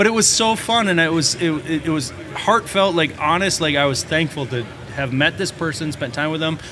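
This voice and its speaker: In a recording with audible room echo and noticeable background noise, a man with an American accent talks at a fairly quick pace in a fairly high voice with ordinary pitch variation. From Minnesota. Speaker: plumbing and heating contractor. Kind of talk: casual interview.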